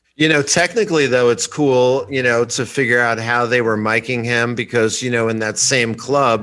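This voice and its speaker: At a moderate pace, a man talks in a medium-pitched voice with a bright, sharp tone. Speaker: guitar gear repair tech and player. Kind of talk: casual chat. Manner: loud.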